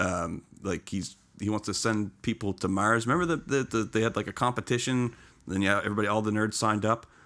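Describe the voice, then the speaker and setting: Keeping his loudness very even, a man with a fairly low pitch and a bright, sharp tone talks at a fairly quick pace with ordinary pitch variation. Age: 30s. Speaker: podcast guest. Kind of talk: casual chat.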